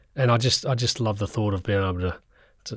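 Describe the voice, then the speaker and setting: On a very clean recording with a silent background, a man with an Australian accent speaks in a fairly low, somewhat breathy voice with fairly even intonation. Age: 50s. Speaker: football coach. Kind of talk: podcast interview. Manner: halting.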